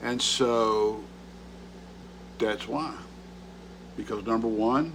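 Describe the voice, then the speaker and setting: Very slow, fairly evenly intoned speech from a man at medium pitch, with audible room echo. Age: 60s. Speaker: lifestyle vlogger. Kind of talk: casual vlog monologue. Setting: home video recording at table, early morning. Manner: halting, with frequent repetitions.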